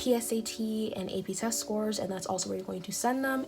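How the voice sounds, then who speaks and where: Music plays in the background as a woman speaks. She has a Californian accent and a moderate pace. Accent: Californian American English. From Long Beach, California. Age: young. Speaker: YouTuber giving college admissions advice. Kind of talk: casual talk to camera.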